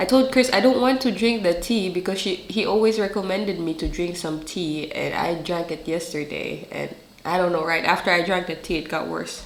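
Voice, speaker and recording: A woman with a Filipino accent speaks at a fairly low pitch and a moderate pace, with ordinary pitch variation and hardly any pauses. Audible room echo and noticeable background noise are present. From Philippines. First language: Filipino dialect. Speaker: vlogger. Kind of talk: casual vlog talk. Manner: talkative.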